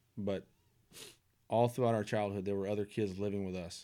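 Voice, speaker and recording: Very fast, monotone speech from a man with a fairly low pitch and a dark, mellow tone, on a very clean recording with a silent background. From Nashville, Tennessee. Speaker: sports super fan and philanthropist. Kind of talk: casual chat.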